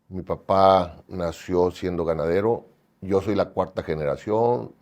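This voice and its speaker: His tone dark and mellow, a man speaks at a very slow pace. His pitch varies in an ordinary way. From Mexico, Sinaloa (Mazatlán). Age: 60s. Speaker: cattle rancher and breeders' association treasurer. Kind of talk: interview. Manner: hesitant, many fillers.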